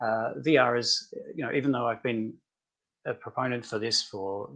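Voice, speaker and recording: With an Australian accent, a man talks at a moderate pace, keeping a medium pitch and ordinary pitch variation. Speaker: tech company founder. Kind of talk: webinar interview.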